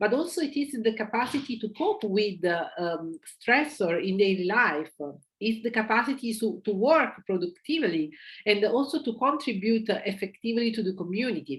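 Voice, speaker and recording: A somewhat breathy woman's voice, fairly high in pitch, with lively intonation and a fairly quick pace. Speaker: psychiatrist and lecturer. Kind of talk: lecture. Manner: hesitant, many fillers.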